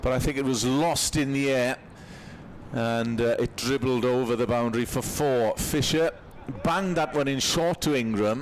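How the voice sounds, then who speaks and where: A man with a Welsh accent speaks at a moderate pace and medium pitch. His pitch varies in an ordinary way, and his loudness stays very even. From Wales. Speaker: cricket commentator. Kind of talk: live commentary.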